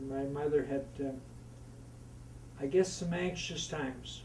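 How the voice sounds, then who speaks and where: In a Canadian accent, a somewhat breathy voice speaks at a fairly slow pace with ordinary pitch variation, and the room echo is audible. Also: man. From Canadian Prairies, Saskatchewan. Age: 80s+. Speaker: war veteran. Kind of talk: oral history interview. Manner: halting.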